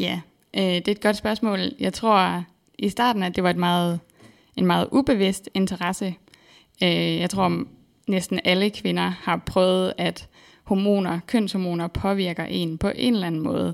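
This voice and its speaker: A woman's unremarkable speaking voice at a medium pitch, fairly slow pace and fairly even intonation, in a very clean recording with a silent background. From Denmark, central Jutland. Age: 20s. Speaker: PhD researcher in exercise physiology. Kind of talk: interview. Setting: studio.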